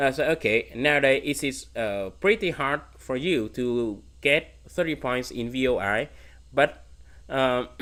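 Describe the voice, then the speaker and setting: Fairly slow speech in a Vietnamese accent on a very clean recording with a silent background. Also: man, medium pitch for a man, ordinary pitch variation. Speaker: competitive programming streamer. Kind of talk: livestream Q&A. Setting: livestream. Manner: halting.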